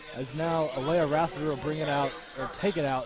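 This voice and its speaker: There is noticeable background noise while a man talks. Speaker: sports commentator. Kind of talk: live commentary. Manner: fast; animated.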